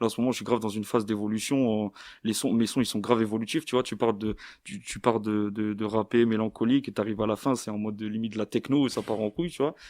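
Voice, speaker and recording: Fairly even intonation marks this man's very fast delivery. The background is silent, and the recording is very clean. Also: medium pitch for a man. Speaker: rapper. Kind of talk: casual chat. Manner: halting, many repetitions and fillers.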